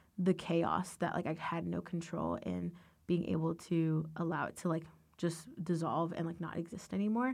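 A woman's normal speaking voice with an American accent, fairly low in pitch, at a moderate pace with fairly even intonation. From US, Northern Virginia (Loudoun County). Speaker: college student and dancer. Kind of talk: casual interview testimony.

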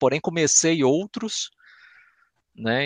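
A man with a Belo Horizonte accent, in a dry, close sound with no echo, over a quiet background. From Belo Horizonte, Brazil. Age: 30s. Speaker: YouTube content creator and scale modeller. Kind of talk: casual chat.

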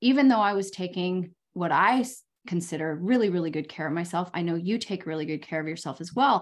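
With an ordinary speaking voice, a woman talks at a moderate pace and medium pitch, her intonation lively. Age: 50s. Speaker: podcast host and life coach. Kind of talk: casual interview chat.

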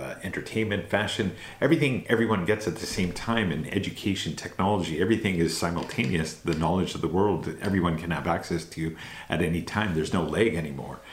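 Audible room echo surrounds a man with a very deep, low pitch who speaks at a fairly quick pace with ordinary pitch variation. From Canada. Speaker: anti-racism organization representative. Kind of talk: interview.

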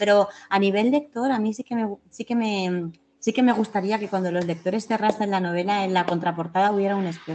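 A fairly quick pace with hardly any pauses and fairly even intonation. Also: woman, medium pitch for a woman. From Spain, Valencia. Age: 50s. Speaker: novelist. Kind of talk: interview. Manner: halting.

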